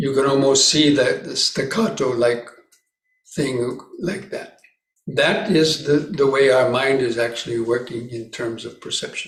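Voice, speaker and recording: Somewhat breathy, a man with a fairly high pitch talks at a fairly slow pace with ordinary pitch variation, and room echo is audible. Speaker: Buddhist monk, meditation teacher. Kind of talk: dharma talk at meditation retreat.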